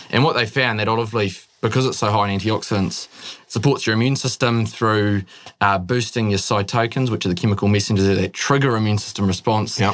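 Speaking with a New Zealand accent, a man uses a fairly low pitch, fairly even intonation, very even loudness and a fairly quick pace. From New Zealand, Northland (born in the Netherlands). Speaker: young entrepreneur. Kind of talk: interview.

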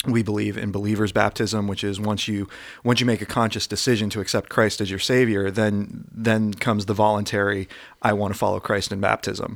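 With an American accent, a man with a fairly low pitch talks at a fairly quick pace in a monotone, flat way, in a very clean recording with a silent background. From US. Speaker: podcast host. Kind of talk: casual chat.

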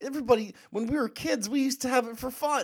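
The recording is very clean, and the background is silent. The voice belongs to a man. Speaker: podcast co-host.

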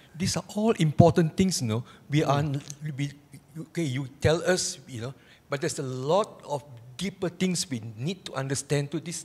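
A man's somewhat breathy, fairly high voice at a moderate pace, with ordinary pitch variation, long, frequent pauses and big swings in loudness. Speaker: audience member asking questions. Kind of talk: question from audience.

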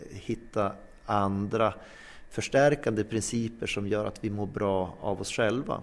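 This man speaks with a fairly low pitch. His pace is fairly slow. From northern Sweden (Norrland inland). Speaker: psychologist and sports club volunteer. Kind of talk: interview. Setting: clubhouse. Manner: animated.

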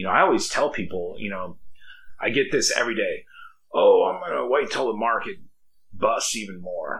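A man at a moderate pace, with long, frequent pauses and audible room echo. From Idaho. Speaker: real estate agent. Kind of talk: casual chat.

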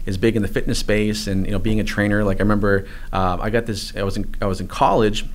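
In a space with audible room echo, a man speaks at a very fast pace. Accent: American. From New England, US. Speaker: online marketing course creator, former personal trainer. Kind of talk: interview.

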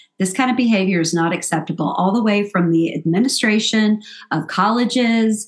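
Using a plain, everyday voice, a woman speaks at medium pitch and a moderate pace with ordinary pitch variation. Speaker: podcast co-host. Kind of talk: casual chat.

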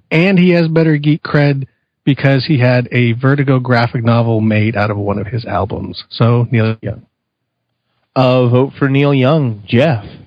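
In a plain, everyday voice, a man with an American accent speaks at a medium pitch and a fairly slow pace, using ordinary pitch variation. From California. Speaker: podcast co-host. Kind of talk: casual chat.

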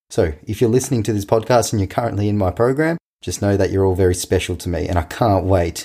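Very fast in pace, a man's voice sits at a very deep, low pitch, somewhat breathy, with a dark, mellow tone. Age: 20s. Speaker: tennis coach and podcast host. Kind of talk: casual podcast monologue.

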